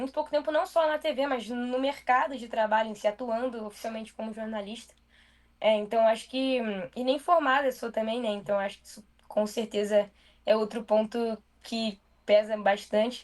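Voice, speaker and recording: A woman talks in a fairly high voice with ordinary pitch variation. Her loudness swings widely. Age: 20s. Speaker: TV news presenter. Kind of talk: interview. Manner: fast; casual.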